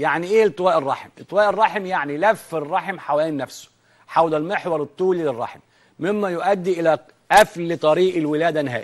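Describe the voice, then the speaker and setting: Against a quiet background, a man with a high pitch speaks at a moderate pace with ordinary pitch variation. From Egypt. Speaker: veterinarian TV host. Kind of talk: educational TV program. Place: studio. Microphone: lapel.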